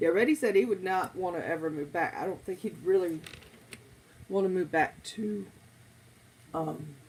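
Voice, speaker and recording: An American accent marks this woman's medium-pitched voice. She keeps a moderate pace but leaves long, frequent pauses. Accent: flat-sounding, by her own account. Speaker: live streamer. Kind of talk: casual chat.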